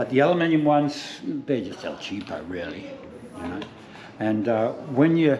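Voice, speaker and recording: A man with a fairly high pitch speaks at a moderate pace, his intonation lively and his loudness swinging widely, with long, frequent pauses. Noticeable background noise and audible room echo surround him. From New Zealand. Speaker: spearfishing shop salesperson. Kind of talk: in-store product demonstration.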